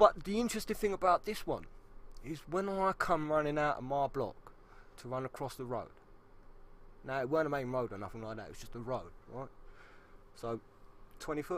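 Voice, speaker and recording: A man with a London accent talks at a fairly quick pace and a fairly high pitch, with very wide pitch swings. His loudness swings a lot, and he leaves long, frequent pauses. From South East London. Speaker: podcast co-host. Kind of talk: casual chat.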